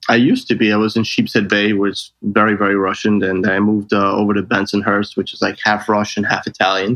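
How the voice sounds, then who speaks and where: A man with a New York accent talks at a very fast pace with hardly any pauses. His fairly low voice stays flat and monotone. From New York City (Brooklyn). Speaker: travel sales manager. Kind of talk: interview.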